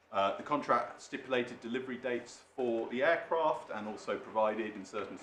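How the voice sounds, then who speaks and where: A medium-pitched man in an English accent, fairly quick and lively in intonation, with audible room echo. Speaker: barrister. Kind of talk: legal submissions in court. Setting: courtroom. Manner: quiet; formal.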